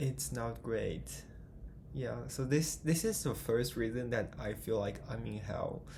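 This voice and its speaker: With audible room echo, a man talks at a fairly slow pace in a Chinese accent. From China. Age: 20s. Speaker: vlogger. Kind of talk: casual vlog monologue. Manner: halting, hesitant.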